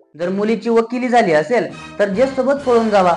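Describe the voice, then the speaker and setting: A man speaks with music playing in the background. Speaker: stand-up comedian; farmer's son. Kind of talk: stand-up comedy routine.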